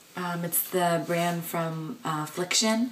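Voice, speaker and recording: Pitch variation is ordinary. Background noise is noticeable. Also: woman. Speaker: beauty and lifestyle vlogger. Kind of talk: casual vlog. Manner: chatty, with many filler ums.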